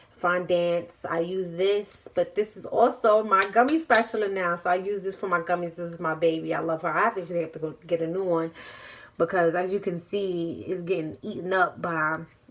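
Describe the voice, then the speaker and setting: Fairly low in pitch, a woman with a New York accent talks with fairly even intonation. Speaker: vlogger and small business owner. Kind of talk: cooking tutorial. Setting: home kitchen. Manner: fast; casual, chatty.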